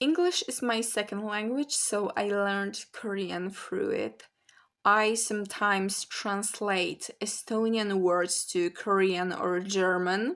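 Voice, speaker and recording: A woman with a Polish accent at a very slow pace. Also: medium pitch for a woman, ordinary pitch variation. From Poland. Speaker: language learning vlogger. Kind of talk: casual vlog talk.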